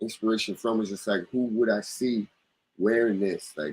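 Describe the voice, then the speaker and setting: This man has an unremarkable speaking voice, fairly low in pitch, moving at a moderate pace with fairly even intonation. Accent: American. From US East Coast. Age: 30s. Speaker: clothing brand owner. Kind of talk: casual chat.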